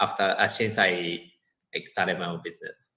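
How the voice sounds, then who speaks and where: A man with a Japanese accent speaks in a bright, sharp tone. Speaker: education business owner, former teacher. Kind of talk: podcast interview. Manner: halting, many fillers.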